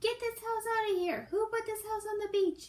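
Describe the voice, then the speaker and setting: In a squeaky, put-on character voice, a woman speaks at a moderate pace with an extremely high pitch and fairly even intonation. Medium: read story.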